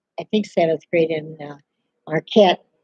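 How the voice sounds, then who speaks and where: A woman with an American accent, a dark, mellow tone and ordinary pitch variation, heard in a dry, close sound with no echo. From Upper Midwest (Minnesota, Wisconsin, Michigan). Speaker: elderly local resident sharing memories. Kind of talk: oral history interview.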